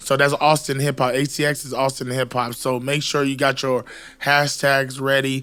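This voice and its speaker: A loud man at a moderate pace, medium-pitched, bright and sharp in tone, monotone and flat in intonation. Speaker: podcast co-host and rapper. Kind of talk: casual chat.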